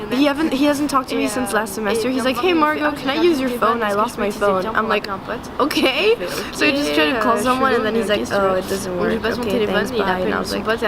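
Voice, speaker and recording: The speaker has a French accent and lively intonation. Noticeable background noise and audible room echo fill the recording. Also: woman, fairly high pitch for a woman, fairly quick pace. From France. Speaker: art student. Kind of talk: casual personal reflection. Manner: hesitant, many fillers.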